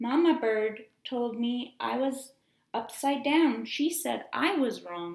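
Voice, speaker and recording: Using a put-on character voice, a woman talks at a fairly slow pace in a squeaky, high pitch. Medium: read story.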